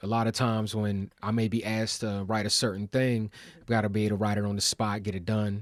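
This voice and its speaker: Very fast speech in an American accent comes with monotone, flat intonation over a very clean recording and silent background. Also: man. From Baltimore, US. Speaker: hip hop artist. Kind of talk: interview. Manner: casual, conversational.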